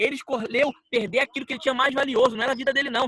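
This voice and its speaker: Raising and projecting his voice, a man talks at a very fast pace and extremely high pitch with fairly even intonation, in a dry, close sound with no echo. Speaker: preacher. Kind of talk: bible teaching.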